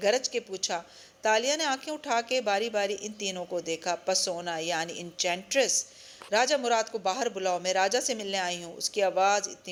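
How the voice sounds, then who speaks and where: The pitch varies in an ordinary way in a normal speaking voice. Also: woman. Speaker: audiobook narrator. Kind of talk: audio novel reading.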